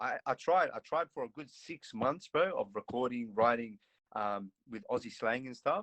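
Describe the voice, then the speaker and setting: At a moderate pace, a man with an American accent and medium pitch uses lively intonation and big swings in loudness in a dry, close sound with no echo. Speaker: rapper. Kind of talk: casual chat.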